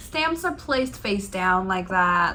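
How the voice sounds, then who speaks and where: Speaking at a very slow pace, a woman uses a medium pitch, lively intonation and a bright, sharp tone. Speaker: craft tutorial creator. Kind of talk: tutorial demonstration talk. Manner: casual, chatty.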